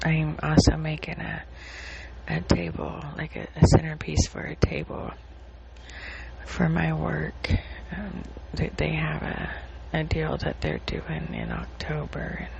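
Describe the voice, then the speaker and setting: Whispering at a very slow pace, a woman leaves long, frequent pauses, her loudness swinging greatly over noticeable background noise. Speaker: podcaster sharing personal updates. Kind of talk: casual personal diary talk. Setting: recording on phone in dark living room at night. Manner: halting, many fillers. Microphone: phone.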